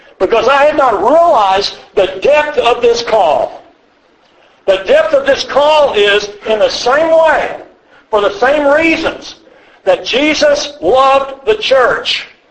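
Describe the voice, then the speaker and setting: A man's extremely high voice, very slow and very even in loudness, with lively intonation and noticeable background noise. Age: 70s. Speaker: church elder teaching a men's class. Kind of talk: lecture. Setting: retreat classroom with live audience.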